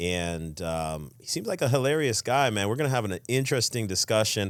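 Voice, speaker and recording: At a moderate pace, a man with a normal speaking voice talks with lively intonation on a very clean recording with a silent background. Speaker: podcast host. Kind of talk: podcast interview questions.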